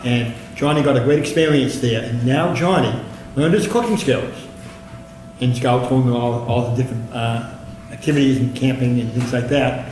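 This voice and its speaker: With noticeable background noise and audible room echo, a man talks at a moderate pace and very even loudness, leaving long, frequent pauses. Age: 70s. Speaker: city councilor. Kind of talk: council meeting speech. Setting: council chambers.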